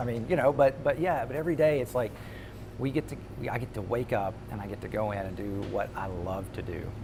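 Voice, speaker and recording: Lively intonation marks this man's fairly quick speech, heard over noticeable background noise. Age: 40s. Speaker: radio morning show host. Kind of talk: interview answer. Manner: high energy, upbeat.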